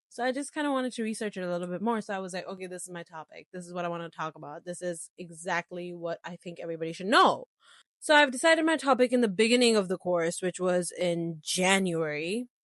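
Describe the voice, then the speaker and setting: Animated in tone, a woman with a medium pitch speaks at a very fast pace with lively intonation and big swings in loudness. The background is quiet, and the sound is dry and close with no echo. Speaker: podcast host, university student. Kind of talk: casual chat.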